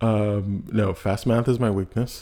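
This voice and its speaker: A man's dark, mellow tone sits at medium pitch and is somewhat breathy. His pitch varies in an ordinary way. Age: 20s. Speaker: podcast host. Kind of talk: personal monologue. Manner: halting, many fillers.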